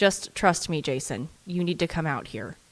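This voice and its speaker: Put on as a character voice, the speech holds a calm tone at a middle pitch and a moderate pace. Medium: read story. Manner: calm but urgent.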